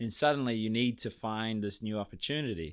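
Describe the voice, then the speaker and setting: A man with a New Zealand accent, medium in pitch, fairly quick, with ordinary pitch variation on a very clean recording with a silent background. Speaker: podcast host. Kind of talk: interview. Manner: fast.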